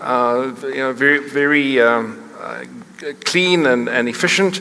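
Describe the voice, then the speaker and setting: Noticeable background noise sits behind a man in a South African accent, his pitch fairly high and his pitch variation ordinary. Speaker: company chief executive, panelist. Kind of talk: panel discussion talk. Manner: halting, many fillers and restarts.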